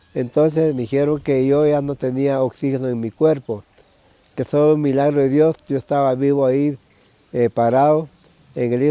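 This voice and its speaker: Dry and close with no echo, a man's voice carries a dark, mellow tone and fairly even intonation. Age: 60s. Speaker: churchgoer giving testimony. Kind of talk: testimony. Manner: halting.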